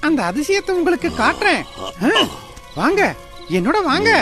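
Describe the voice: Faint music plays in the background as a woman uses a cartoonish character voice at an extremely high pitch, with big pitch swings and a fairly bright tone. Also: moderate pace.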